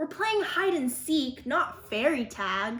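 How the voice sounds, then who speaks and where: A woman speaks in a put-on character voice, pitched high. Her pace is fairly slow. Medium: read story.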